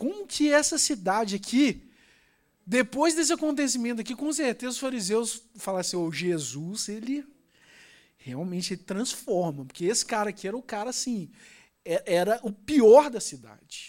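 In a Brazilian accent, a man speaks at a moderate pace with an animated tone, a high pitch and very wide pitch swings. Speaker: preacher. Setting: church. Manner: fervent, with repeated fillers and emphatic repetition.

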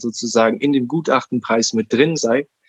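Recorded dry and close with no echo, a man talks at medium pitch and a moderate pace with fairly even intonation. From Berlin, Germany. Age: 20s. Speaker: podcast guest, self-directed learner. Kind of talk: interview, personal story. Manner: halting, many fillers.

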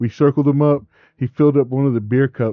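A man's plain, everyday voice at medium pitch, with fairly even intonation. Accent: American. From West Texas (Midland). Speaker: podcast co-host. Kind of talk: casual chat.

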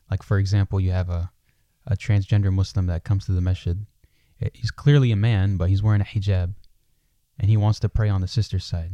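Very fast, somewhat breathy speech from a man with a dark, mellow tone, fairly low pitch and fairly even intonation, in a dry, close sound with no echo. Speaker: podcast interviewer. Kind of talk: conversational interview. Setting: mosque room, filmed live shoot.

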